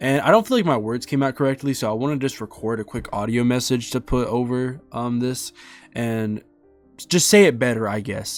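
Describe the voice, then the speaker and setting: Man talking at a fairly quick pace with music in the background. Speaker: gaming YouTuber. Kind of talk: video game review. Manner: halting, stuttering.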